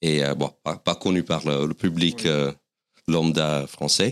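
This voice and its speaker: Speaking with an American accent, a man uses a very deep, low pitch and fairly even intonation in a dry, close sound with no echo. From US Northeast, Westchester County, New York. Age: 40s. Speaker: stand-up comedian. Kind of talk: casual interview. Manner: halting, many repetitions and fillers.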